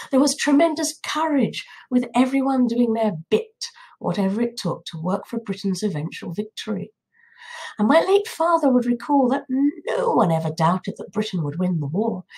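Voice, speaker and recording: Her fairly high pitch shows very wide swings as the woman speaks at a moderate pace. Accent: southern English. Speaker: political commentator. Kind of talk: monologue.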